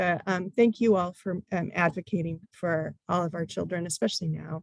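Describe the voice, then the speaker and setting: A woman speaks with a fairly low pitch. The sound is dry and close, with no echo. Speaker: teacher and presenter. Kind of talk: training presentation. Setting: online training. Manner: fast.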